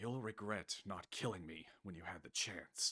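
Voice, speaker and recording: A man puts on a character voice, hissing and growling. His pitch is fairly low, and his pace is moderate. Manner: menacing, venomous.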